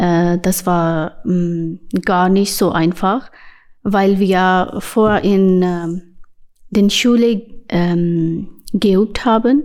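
A woman with a non-native accent at a very slow pace, with long, frequent pauses, very even loudness and ordinary pitch variation. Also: medium pitch for a woman. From Pakistan. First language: not German (speaking German). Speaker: basketball player and youth coach. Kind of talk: interview. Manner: halting.

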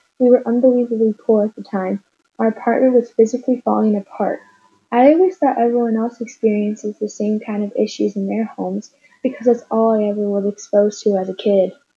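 At a fairly quick pace with ordinary pitch variation, this is an unremarkable speaking voice. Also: woman, fairly high pitch for a woman. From Chicago, South Side (Hyde Park). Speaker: guest sharing personal experience. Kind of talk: scripted interview.

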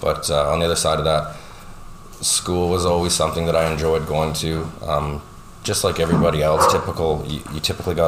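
In a Canadian Prairies accent, a man with a very deep, low pitch speaks at a very fast pace in monotone, flat intonation, with audible room echo and noticeable background noise. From Saskatchewan, Canada. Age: 30s. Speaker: power engineer. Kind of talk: interview.

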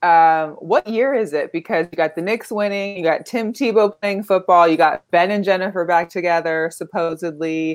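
In an American accent, a woman with a normal speaking voice talks at a moderate pace with hardly any pauses, fairly low in pitch with ordinary pitch variation. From Las Vegas, Nevada. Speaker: sports podcast co-host. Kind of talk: casual chat. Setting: live stream.

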